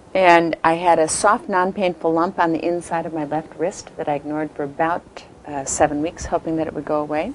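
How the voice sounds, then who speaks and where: A woman with a very deep, low voice keeps her intonation fairly even against noticeable background noise. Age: 60s. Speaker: cancer survivor, amputee. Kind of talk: testimony. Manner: hesitant, many fillers.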